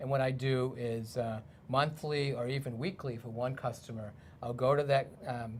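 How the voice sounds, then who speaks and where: A man with a Boston accent, medium pitch, moderate pace and fairly even intonation. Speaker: aquaponics garden maintenance provider.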